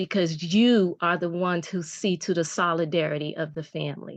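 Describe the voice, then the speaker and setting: Against a quiet background, a woman with a normal speaking voice talks at a moderate pace and medium pitch with ordinary pitch variation. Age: 60s. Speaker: workshop participant. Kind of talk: testimony.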